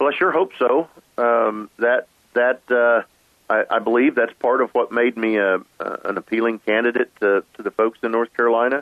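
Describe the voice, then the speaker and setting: A man with an American accent talks at a moderate pace and medium pitch, his intonation fairly even and his loudness very even. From western Oklahoma, US. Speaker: agricultural trade association executive. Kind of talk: interview. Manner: halting, many repetitions.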